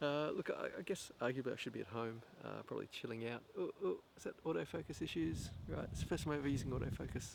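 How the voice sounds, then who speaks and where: This man's speech rushes along very fast. Pauses barely occur. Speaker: vlogger. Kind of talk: casual monologue to camera. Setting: outdoors. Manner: soft-spoken; halting.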